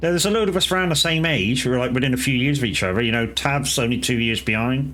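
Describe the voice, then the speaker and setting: In a British accent, a man talks at a very fast pace with lively intonation, a medium pitch and very even loudness, with audible room echo. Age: 40s. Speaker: gaming streamer. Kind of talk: casual chat. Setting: live stream.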